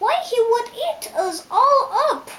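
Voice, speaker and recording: A woman puts on a character voice. It is squeaky and extremely high-pitched. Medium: read story.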